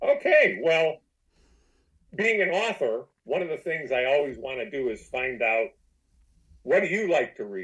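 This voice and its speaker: Pausing long and often, a man with an American accent speaks at a fairly slow pace. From US Midwest, Detroit. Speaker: novelist, former veterinarian. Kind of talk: interview. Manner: halting.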